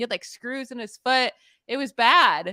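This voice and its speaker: A woman with an American accent speaks fairly quickly in a bright, sharp tone. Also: dry, close sound with no echo. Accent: Pittsburgh accent, noticed by others. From Pittsburgh, US. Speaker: fantasy football analyst. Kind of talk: podcast sports analysis. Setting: live stream.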